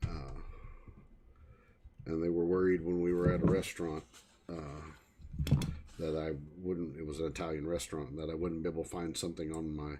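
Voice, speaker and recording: A man with a Missouri accent, very deep and low in pitch, dark and mellow in tone, fairly quick yet with long, frequent pauses and flat, monotone intonation. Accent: rural Missouri, heavy at times. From Missouri, Springfield area. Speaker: hobbyist electronics repairer, livestreamer. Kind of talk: casual livestream chat and repair demo. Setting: livestream. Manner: casual, halting with frequent fillers.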